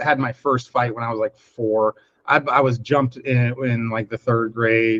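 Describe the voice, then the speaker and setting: Speaking at a moderate pace in an American accent, a man uses a medium pitch, his sound dry and close with no echo. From US Northeast, Paterson, New Jersey. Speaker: podcast host. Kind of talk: casual chat. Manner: loud; animated.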